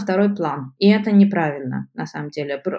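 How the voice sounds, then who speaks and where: Her voice has a dark, mellow tone, and this woman speaks at a medium pitch with ordinary pitch variation. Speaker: molecular biology postdoc. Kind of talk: interview.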